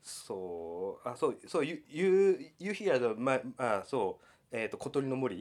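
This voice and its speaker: Here a man speaks with a Japanese accent at a fairly slow pace. His pitch swings very wide. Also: medium pitch for a man. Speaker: sound artist and academic. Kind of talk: interview. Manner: halting.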